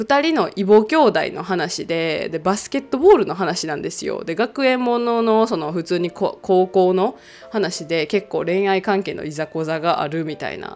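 A woman talks in an ordinary speaking voice at a medium pitch. Her pace is moderate and her intonation lively. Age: 30s. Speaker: podcast host. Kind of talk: casual solo talk.

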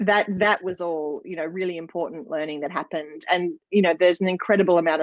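Speaking at a fairly quick pace in an Australian accent, a woman shows ordinary pitch variation, with a dry, close sound with no echo and a quiet background. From Australia, rural New South Wales. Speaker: dance school principal and business coach. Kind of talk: interview.

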